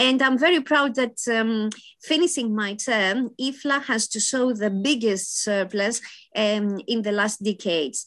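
A fairly high-pitched woman's voice in a Greek accent, lively in intonation, at a fairly slow pace. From Greece (Athens). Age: 50s. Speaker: library association president. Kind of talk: interview.

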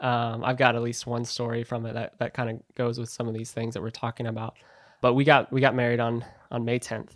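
Fairly quick and monotone, a man speaks at a medium pitch on a very clean recording with a silent background. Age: 20s. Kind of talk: interview about faith, personal testimony.

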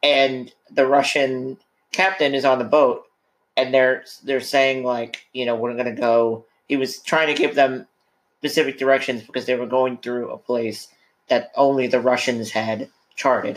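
This man has an unremarkable speaking voice, medium in pitch, with fairly even intonation at a moderate pace. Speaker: podcast host. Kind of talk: casual chat. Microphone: too close to the mic.

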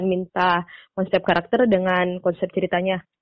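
Moderate-paced speech from a woman, an unremarkable speaking voice at medium pitch. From Makassar, Indonesia. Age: young. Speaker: student comic artist. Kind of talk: interview.

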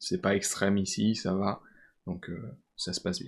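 A man speaks in a plain, everyday voice at a fairly low pitch. His pace is fairly slow and his intonation fairly even. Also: very clean recording, silent background. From France, Vosges. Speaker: engineering student. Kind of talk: interview.

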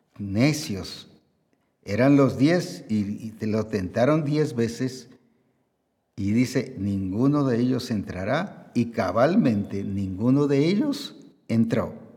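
Here a man speaks at a medium pitch with a dark, mellow tone and lively intonation. He talks at a very slow pace, and the room echo is audible. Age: 70s. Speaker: pastor. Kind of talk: sermon.

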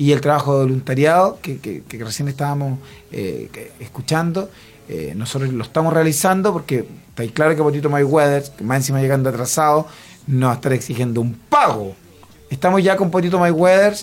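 Against noticeable background noise, a man talks at a fairly quick pace, his fairly high pitch showing ordinary variation. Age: 40s. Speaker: comedian. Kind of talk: comedic radio banter.

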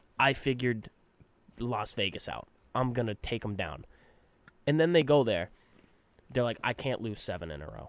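A man speaks with lively intonation and long, frequent pauses. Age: 20s. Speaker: real estate agent. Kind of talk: casual chat.

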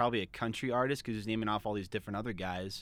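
In a very clean recording with a silent background, a man with an American accent uses an unremarkable speaking voice at medium pitch with ordinary pitch variation. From Arizona. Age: 20s. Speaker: student and voice impressionist. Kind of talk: casual chat.

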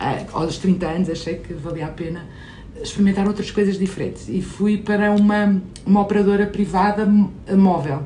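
A woman speaks at a moderate pace with fairly even intonation. Audible room echo and noticeable background noise surround her. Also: medium pitch for a woman. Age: 50s. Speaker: innovation executive and startup investor. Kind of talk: interview.

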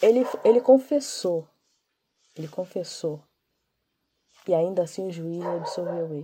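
A woman with a medium pitch and a dark, mellow, somewhat breathy tone speaks at a fairly slow pace, using lively intonation, long, frequent pauses and big swings in loudness. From Brazil, Niterói, Rio de Janeiro. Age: 30s. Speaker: comic writer and social media influencer. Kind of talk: interview.

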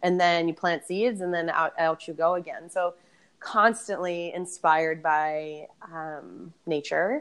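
The female speaker's pitch sits fairly low. Her delivery comes at a very slow pace. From Boston, US. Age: 30s. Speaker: yoga and barre instructor with PhD. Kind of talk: casual interview chat.

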